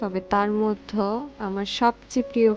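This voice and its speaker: With music in the background, a woman speaks soft-spoken and in a calm tone at a medium pitch. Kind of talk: casual talk to camera. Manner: soft-spoken, calm.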